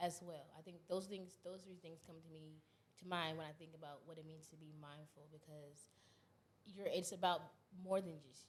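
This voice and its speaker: Her loudness swinging widely, a woman speaks in a somewhat breathy, fairly low voice with monotone, flat intonation and audible room echo. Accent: American. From North Carolina, Fayetteville. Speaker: content creator. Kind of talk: casual chat. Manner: fast.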